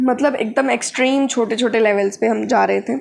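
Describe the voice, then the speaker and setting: A woman speaks at a high pitch. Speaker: biology tutor. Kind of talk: lecture. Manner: casual, code-switching Hindi-English.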